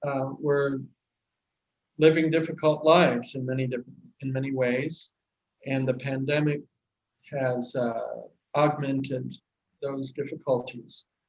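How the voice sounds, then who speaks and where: Speaking with a Midwestern US accent, a man has a fairly high pitch and fairly even intonation, moving at a fairly slow pace with long, frequent pauses. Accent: General American, Midwestern. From US Midwest, Kansas. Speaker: church aid worker. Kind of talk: video greeting. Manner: halting, many fillers.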